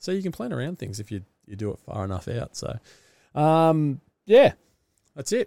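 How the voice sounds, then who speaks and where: With an Australian accent, a man's dark, mellow voice makes very wide pitch swings and big swings in loudness, broken by long, frequent pauses. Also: fairly high pitch for a man, moderate pace. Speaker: podcast host, business founder and amateur triathlete. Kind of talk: solo podcast monologue. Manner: casual, rambling with fillers.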